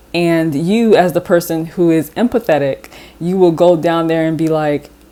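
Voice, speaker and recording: Noticeable background noise surrounds a woman's voice. Her pitch is fairly low, with ordinary pitch variation. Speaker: tarot reader. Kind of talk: tarot reading. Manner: halting, self-correcting; casual, conversational.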